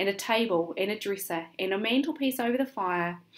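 Fairly lively intonation in an unforced reading voice.

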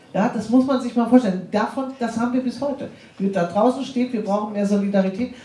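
Noticeable background noise sits behind this woman. She speaks at a very fast pace. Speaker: aid organization representative. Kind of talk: panel discussion.

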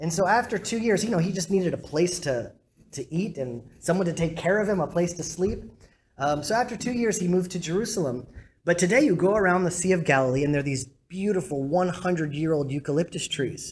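The speaker talks at a fairly quick pace over light background noise. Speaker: rabbi giving a talk. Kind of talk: lecture. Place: hall.

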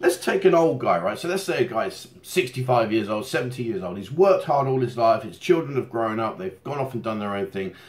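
A somewhat breathy man speaks at a moderate pace with hardly any pauses and very wide pitch swings. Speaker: channel host. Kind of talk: casual vlog chat. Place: home room.

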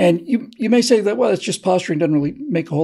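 A man's dark, mellow tone against a quiet background. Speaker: co-host, political commentator. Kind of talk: political monologue, speechifying. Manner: earnest, oratorical, repeating words while thinking. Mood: earnest, persuasive. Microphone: video call.

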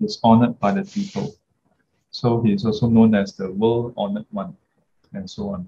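A man talks at a moderate pace with very wide pitch swings. His tone is dark and mellow, and somewhat breathy. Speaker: dharma teacher. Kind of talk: lecture. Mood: warm, laughing. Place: home room. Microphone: webcam.

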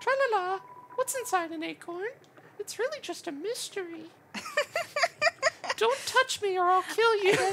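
In a put-on character voice, a woman speaks at an extremely high pitch and a moderate pace, with big swings in loudness and long, frequent pauses. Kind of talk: grim reaper voice. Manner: sing-song, eerie.

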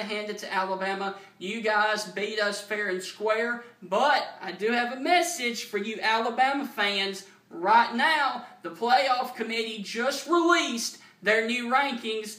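Projected loudly in a Southern US accent, the voice moves at a fairly slow pace with ordinary pitch variation over noticeable background noise. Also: man. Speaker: sports fan vlogger. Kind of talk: angry rant, loud fan tirade with mock-cheerful opening, then fired-up football trash talk. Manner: animated; emphatic, boastful.

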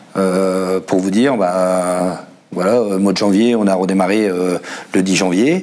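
Fairly even intonation marks this voice, delivered at a very slow pace. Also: man. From northern France. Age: 40s. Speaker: assembly line worker and union secretary; car factory worker guest. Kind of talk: panel discussion. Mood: aggrieved, indignant. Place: studio. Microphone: lapel.

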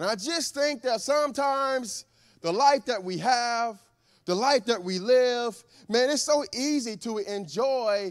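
Nothing much stirs in the background. A man is talking. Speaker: preacher. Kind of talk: sermon. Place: church. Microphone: handheld.

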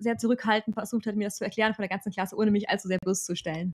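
Against a quiet background, a woman speaks at a very fast pace in a fairly high pitch. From Germany. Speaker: German expat in Australia; channel host. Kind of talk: casual chat. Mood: amused storytelling. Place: home room. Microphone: studio mic.

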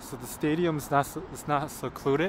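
The intonation stays fairly even as he speaks. His voice is dry and echo-free, with light noise behind it. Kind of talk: casual vlog chat. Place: street. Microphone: phone near.

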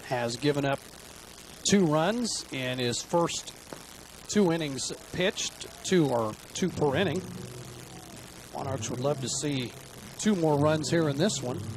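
Over noticeable background noise, a man with a fairly high pitch talks at a fairly slow pace with lively intonation and long, frequent pauses. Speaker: baseball color commentator. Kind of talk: live baseball color commentary, analytical chat between pitches. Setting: ballpark broadcast booth. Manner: relaxed, conversational, with filler 'uh'.

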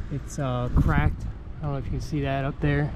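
A man's voice, dry and free of echo, moves at a moderate pace while noticeable background noise runs underneath. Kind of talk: casual vlog chat. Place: boat. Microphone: phone near.

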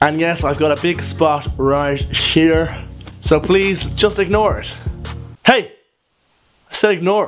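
A high-pitched man with a Dublin accent speaks in an upbeat tone at a very slow pace. He leaves long, frequent pauses over faint music in the background. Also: ordinary pitch variation. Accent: Dublin Irish. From Ireland. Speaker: vlogger. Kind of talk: casual talk to camera. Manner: upbeat, joking. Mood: jokey, self-mocking. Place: home room. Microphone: phone near.

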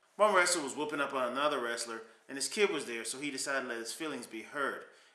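There is audible room echo as a man speaks. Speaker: vlogger. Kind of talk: casual vlog chat. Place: home room. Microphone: webcam.

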